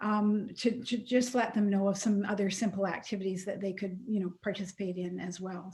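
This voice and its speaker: Speaking with a Canadian accent, a woman of medium pitch has a dark, mellow, somewhat breathy tone, a moderate pace, fairly even intonation and big swings in loudness. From Alberta, Canada. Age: 70s. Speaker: nonprofit executive director. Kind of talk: casual talk in online meeting.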